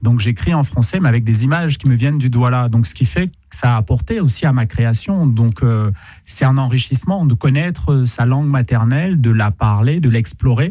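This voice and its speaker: A man's voice carries a dark, mellow tone and is somewhat breathy. His intonation is lively. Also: medium pitch for a man, moderate pace. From Cameroon. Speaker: poet and artist. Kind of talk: radio interview. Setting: radio studio.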